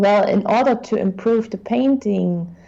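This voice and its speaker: A woman speaks with a German accent. Her voice is medium in pitch, with a dark, mellow tone. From Germany. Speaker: guest art critic. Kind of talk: art critique on livestream. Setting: livestream. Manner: halting, many fillers.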